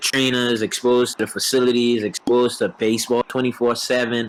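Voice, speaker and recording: A man with a Bahamian accent speaks at a fairly quick pace and medium pitch. Noticeable background noise runs behind him. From Bahamas. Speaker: professional baseball player. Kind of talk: casual interview.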